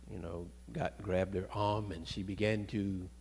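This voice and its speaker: Over light background noise, a man speaks in a very deep, low pitch with a dark, mellow tone and vocal fry. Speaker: preacher. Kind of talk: sermon. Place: church. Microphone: handheld.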